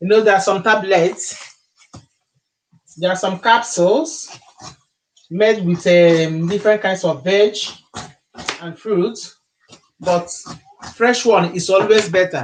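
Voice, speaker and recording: A man's high-pitched voice in a Nigerian accent, at a very slow pace broken by long, frequent pauses. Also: ordinary pitch variation. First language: Igbo. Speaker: YouTuber, Igbo language teacher. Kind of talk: live stream cooking demo. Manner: repetitive.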